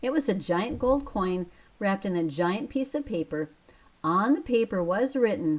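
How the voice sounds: The reading voice is natural, and its intonation is lively.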